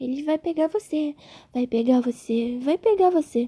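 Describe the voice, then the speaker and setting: A woman puts on a character voice with a hissing sound, a high pitch and lively intonation. She keeps a moderate pace, and the sound is dry and close with no echo. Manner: menacing, repetitive whisper.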